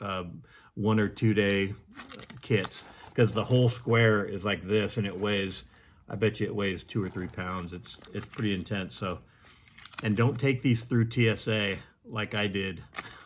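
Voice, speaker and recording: Using a normal speaking voice, a man talks with a fairly low pitch and a moderate pace. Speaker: gear reviewer. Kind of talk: tutorial. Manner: casual with frequent fillers and repeats.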